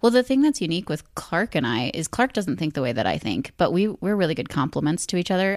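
A woman with a fairly low pitch at a very fast pace with lively intonation, in a very clean recording with a silent background. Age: 20s. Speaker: podcast guest, mother and student. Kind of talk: casual chat. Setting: home recording with USB microphone.

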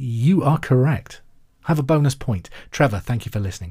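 A man with a medium-pitched voice speaks somewhat breathily on a very clean recording with a silent background. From England, Hereford. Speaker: quiz podcast host, radio presenter. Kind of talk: casual chat with listener mail; quiz hosting.

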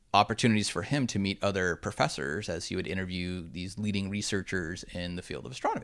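The very clean recording, with a silent background, captures a man with a very deep, low pitch. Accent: Californian. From Southern California (Orange County). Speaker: consumer electronics marketing executive. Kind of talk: podcast interview.

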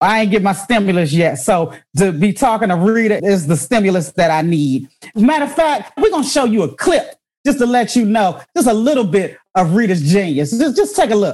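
At a moderate pace, a woman with a medium-pitched, somewhat breathy voice sounds animated. Her pitch swings very widely. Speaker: podcast host and comedian. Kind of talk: casual interview chat. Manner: animated, laughs often.

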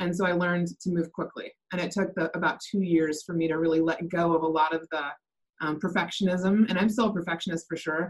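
At a very fast pace, a woman with an American accent speaks at a fairly low pitch with fairly even intonation. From US Pacific Northwest, Seattle area. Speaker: real estate team operations manager. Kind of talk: interview.

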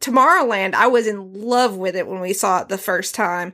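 Speaking at a moderate pace with a Southern US accent, a woman has a medium pitch, a bright, sharp tone and ordinary pitch variation, on a very clean recording with a silent background. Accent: country, Southern US. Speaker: host's wife, guest co-host. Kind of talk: casual chat. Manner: animated.

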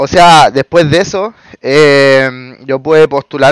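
A man with a Chilean accent speaks in a fairly high pitch with ordinary variation, the sound dry and close with no echo. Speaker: electrician. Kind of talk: casual interview. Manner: halting, many repetitions.

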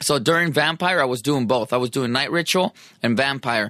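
A man with an American accent, medium pitch, a bright, sharp, animated tone and a fairly quick pace. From San Diego, California. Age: 40s. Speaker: musician. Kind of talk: casual chat.

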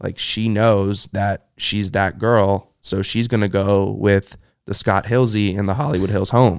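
An unremarkable speaking voice moves at a fairly slow pace with hardly any pauses and fairly even intonation. The recording is very clean, with a silent background. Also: man, fairly low pitch for a man. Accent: American. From Los Angeles, US. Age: 20s. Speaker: e-commerce entrepreneur. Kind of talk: casual chat.

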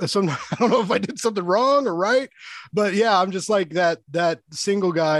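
The speaker has an American accent and an animated tone with ordinary pitch variation. The pace is moderate and the background quiet. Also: man. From US Midwest, Kansas City. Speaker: podcast host. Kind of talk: casual interview chat.

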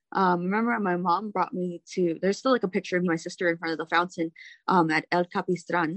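A woman speaks at a fairly quick pace with a fairly low pitch and fairly even intonation. The sound is dry and close, with no echo. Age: 20s. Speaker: former multi-level marketing seller. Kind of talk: interview conversation.

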